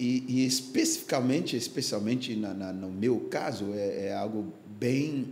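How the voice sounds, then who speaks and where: A man of medium pitch speaks fairly slowly with ordinary pitch variation. Noticeable background noise and audible room echo are present. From Ghana (Accra). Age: 60s. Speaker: pastor. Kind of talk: podcast interview testimony. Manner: halting, many fillers.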